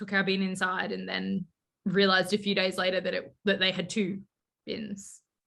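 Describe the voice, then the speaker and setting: Her tone bright and sharp, a woman speaks with fairly even intonation. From Australia (Queensland, Western Australia). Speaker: fantasy author. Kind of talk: casual chat.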